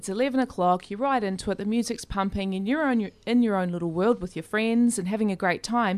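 A woman speaks with an Australian accent. Her pitch is fairly high and varies in an ordinary way. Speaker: community radio co-host. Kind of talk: interview. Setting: studio.

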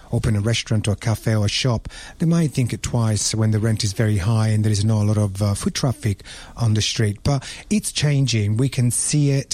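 This man's dark, mellow tone sits at a medium pitch. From Italy, Rome. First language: Italian. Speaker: restaurant owner. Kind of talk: radio panel discussion.

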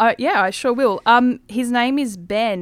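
A woman with an Australian accent. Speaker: radio host. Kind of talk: casual interview.

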